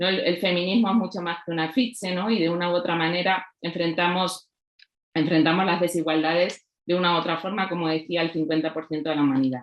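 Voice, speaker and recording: A woman speaks in a Castilian accent with fairly even intonation. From Spain, La Mancha. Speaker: writer and researcher. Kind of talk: panel talk. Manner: halting, many fillers.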